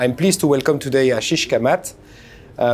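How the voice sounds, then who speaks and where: Light background noise sits behind a man speaking with ordinary pitch variation. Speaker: host. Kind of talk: interview host introduction and questions. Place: hall. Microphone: lapel.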